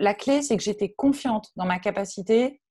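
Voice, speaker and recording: The background is quiet as a woman speaks. Her pitch is medium, with ordinary pitch variation. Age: 30s. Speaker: freelance digital marketing consultant. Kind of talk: interview. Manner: halting, many repetitions.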